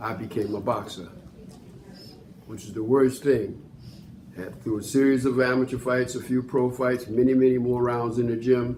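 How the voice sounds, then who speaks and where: A man at a medium pitch speaks at a moderate pace with monotone, flat intonation, big swings in loudness and long, frequent pauses, with audible room echo. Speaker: former boxer, senior program participant. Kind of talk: testimony.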